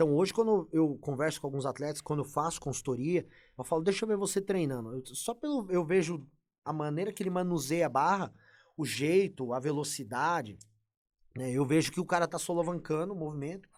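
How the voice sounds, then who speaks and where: This man talks at a fairly quick pace in a fairly high pitch with ordinary pitch variation, on a very clean recording with a silent background. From Brazil. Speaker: bodybuilding coach. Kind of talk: casual podcast interview. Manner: animated.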